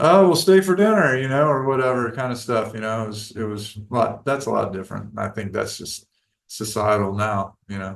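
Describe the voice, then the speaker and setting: In an unremarkable speaking voice, a man talks at a fairly quick pace and medium pitch, with lively intonation and big swings in loudness. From US South. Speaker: longtime local resident. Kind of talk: casual chat.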